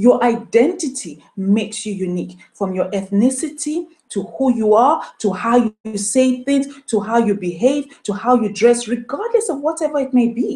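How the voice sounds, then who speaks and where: A woman's dark, mellow tone at a fairly high pitch, with a Nigerian accent, lively intonation and a moderate pace. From Nigeria, moved to UK as a child. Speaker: motivational speaker. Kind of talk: motivational talk. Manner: animated.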